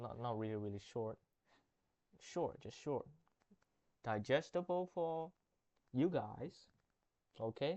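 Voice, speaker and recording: A man with a non-native accent speaks at a fairly slow pace, leaving long, frequent pauses. His intonation is lively. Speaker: gaming youtuber. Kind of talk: gameplay commentary. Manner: halting, self-correcting.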